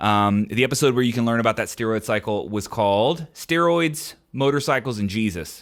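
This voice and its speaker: A man with an unremarkable speaking voice talks at a medium pitch and a moderate pace, with lively intonation and hardly any pauses. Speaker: podcast host. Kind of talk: solo podcast Q&A. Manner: casual, filler-heavy.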